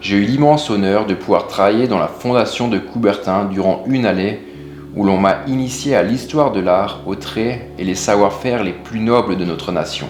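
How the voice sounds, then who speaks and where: A man speaks at a moderate pace in a fairly low voice with ordinary pitch variation, music playing behind him and audible echo in the room. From Alsace, France. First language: Alsatian (speaking French). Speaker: stove builder and business owner. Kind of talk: scripted narration.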